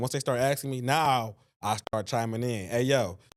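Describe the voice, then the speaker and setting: A man talks with fairly even intonation at a medium pitch, an ordinary speaking voice, in a very clean recording with a silent background. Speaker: rapper and studio owner. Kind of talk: casual interview chat.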